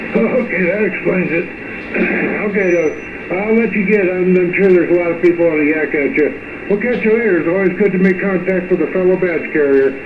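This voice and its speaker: With audible room echo and noticeable background noise, a man with a high pitch talks at a fairly quick pace. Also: ordinary pitch variation. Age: 70s. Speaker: retired firefighter, ham radio operator. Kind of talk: amateur radio contact. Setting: radio transmission.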